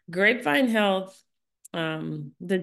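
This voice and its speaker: Ordinary pitch variation marks an unremarkable speaking voice with an American accent, heard over a quiet background. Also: woman. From US Midwest, St. Louis, Missouri. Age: 50s. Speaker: physician and health company founder. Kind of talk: interview.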